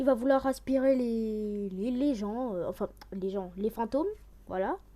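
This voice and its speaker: This woman speaks at a fairly slow pace with a fairly high pitch and ordinary pitch variation. Her tone is dark and mellow. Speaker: youtuber reacting to trailers. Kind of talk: casual reaction commentary.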